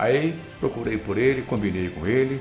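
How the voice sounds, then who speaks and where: A man's lively intonation, with audible room echo. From northern Paraná, Brazil. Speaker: broadcaster and master of ceremonies. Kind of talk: interview. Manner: repetitive false starts.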